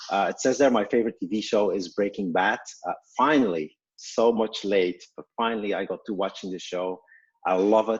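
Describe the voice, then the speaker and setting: A man with a Belgian accent, fairly low in pitch, at a moderate pace with ordinary pitch variation. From Belgium. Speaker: startup co-founder and CEO. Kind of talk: webinar self-introduction. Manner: halting, many fillers.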